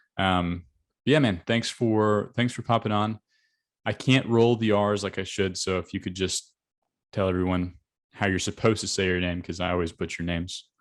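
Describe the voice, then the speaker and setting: A man with a Southern US accent and a fairly low pitch speaks in an upbeat tone at a moderate pace against a quiet background. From Arkansas, US South. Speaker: agency coach, interviewer. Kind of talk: casual interview; outro to camera.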